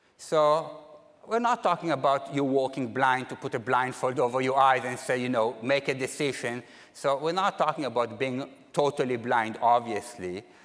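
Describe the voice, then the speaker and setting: With a plain, everyday voice, a man speaks at a moderate pace in a medium pitch and ordinary pitch variation. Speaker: academic conference speaker. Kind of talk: plenary lecture.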